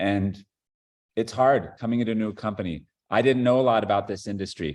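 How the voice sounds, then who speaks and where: Speaking with an American accent, a man uses a fairly low pitch and fairly even intonation. He keeps a moderate pace against a quiet background. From Los Angeles, US West Coast. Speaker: company CEO. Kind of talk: speech to a company training call.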